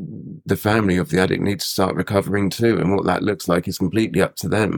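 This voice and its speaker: A very deep, low-pitched man with a British accent, fairly quick, with ordinary pitch variation, in a very clean, dry, close recording with a silent background and no echo. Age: 30s. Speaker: person in addiction recovery. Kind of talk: interview. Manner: halting.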